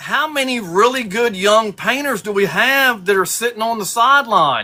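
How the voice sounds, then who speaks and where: In a raised, projected voice, a man speaks at a moderate pace with an extremely high pitch, a bright, sharp tone, and ordinary pitch variation. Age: 60s. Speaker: custom lure painter. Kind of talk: casual chat.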